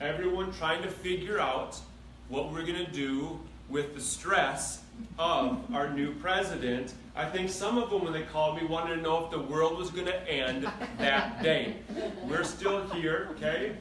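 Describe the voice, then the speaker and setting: A man with a high pitch and ordinary pitch variation speaks at a fairly slow pace. Noticeable background noise and audible room echo fill the recording. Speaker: chiropractic doctor giving health workshop. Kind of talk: health workshop talk to live audience. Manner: animated.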